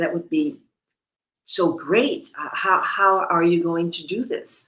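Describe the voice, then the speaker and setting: A woman with a fairly low voice speaks very slowly but with lively intonation. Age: 70s. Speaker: storyteller, model and author. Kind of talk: live storytelling. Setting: stage with audience.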